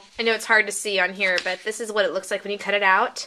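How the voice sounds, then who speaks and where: There is noticeable background noise behind the woman. Her tone is upbeat. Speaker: crafting video host. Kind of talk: tutorial. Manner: casual, upbeat.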